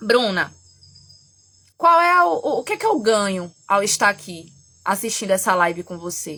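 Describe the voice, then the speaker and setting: In a very clean recording with a silent background, a soft-spoken woman talks in an animated, bright, sharp tone. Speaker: therapist and astrology teacher. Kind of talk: live stream talk. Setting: at home. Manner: animated, gets loud; trying to speak softly.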